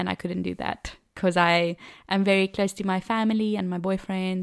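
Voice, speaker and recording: On a very clean recording with a silent background, a woman of medium pitch talks at a moderate pace with fairly even intonation. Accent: South African. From South Africa, Cape Town. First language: Afrikaans. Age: 20s. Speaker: au pair and trained teacher. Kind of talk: casual interview. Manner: laughs often.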